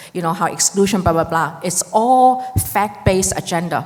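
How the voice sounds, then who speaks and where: An animated woman at a medium pitch, fairly quick in pace with ordinary pitch variation, over noticeable background noise. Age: 60s. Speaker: immigration lawyer, audience member asking a question. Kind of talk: audience question at a panel.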